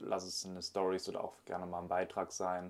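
Here a man speaks at a moderate pace. His pitch is very deep and low. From Germany, Solingen. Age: 20s. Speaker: online fitness coach, bodybuilder. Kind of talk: casual chat.

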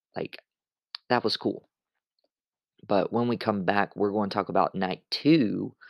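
Pausing long and often, a man talks at a fairly slow pace with a fairly low pitch and ordinary pitch variation. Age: 20s. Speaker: wrestling podcast host. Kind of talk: solo podcast recap monologue. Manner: casual, with frequent filler words.

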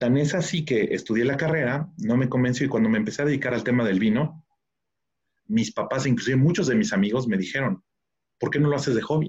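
Speaking at a very fast pace with a medium pitch, the man has lively intonation, very even loudness and a somewhat breathy sound. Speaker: wine expert. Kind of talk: interview.

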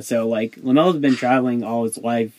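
Speaking at a moderate pace, a man uses an ordinary speaking voice pitched in the medium range. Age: 20s. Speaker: podcast host. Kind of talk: casual chat.

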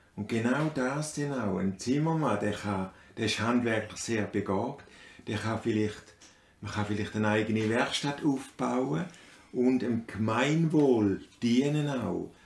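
A man in a Swiss accent at a very slow pace, medium in pitch with ordinary pitch variation. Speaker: father of the host. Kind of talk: casual chat. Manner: halting.

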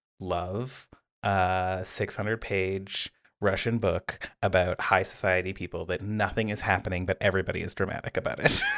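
On a very clean recording with a silent background and a dry, close sound with no echo, a man with a Canadian accent speaks at a moderate pace in a fairly low pitch with a monotone, flat intonation. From British Columbia, Canada (Pender Island). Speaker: podcast co-host, game designer. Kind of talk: casual chat.

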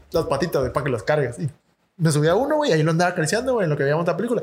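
With a Mexican accent and lively intonation, a man speaks at a high pitch. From Mexico. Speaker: podcast co-host. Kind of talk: casual chat. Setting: studio.

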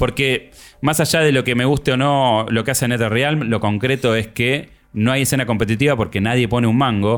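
Medium in pitch, a man speaks at a moderate pace with fairly even intonation and very even loudness. The recording is very clean, with a silent background. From Argentina. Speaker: podcast co-host. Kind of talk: casual chat.

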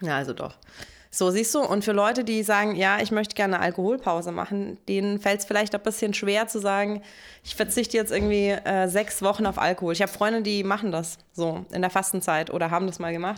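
A woman with an unremarkable speaking voice talks at a fairly quick pace, her pitch medium and her intonation fairly even. The recording is very clean, with a silent background. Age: 30s. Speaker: podcast co-host. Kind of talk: casual chat.

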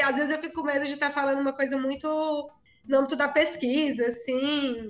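A high-pitched woman's voice at a moderate pace, with fairly even intonation. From Ceará, Brazil (sertão, Cedro). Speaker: architecture professor and researcher. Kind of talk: casual interview.

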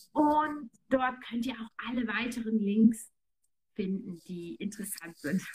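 Somewhat breathy and fairly high-pitched, a woman speaks very slowly with lively intonation and big swings in loudness. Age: 30s. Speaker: online marketing entrepreneur. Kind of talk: casual interview chat.

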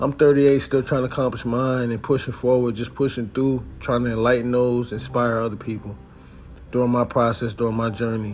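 A man at a fairly quick pace, relaxed in tone and monotone in intonation, with noticeable background noise. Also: medium pitch for a man. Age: 30s. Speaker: podcast host and musician. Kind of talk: casual monologue. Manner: relaxed conversational.

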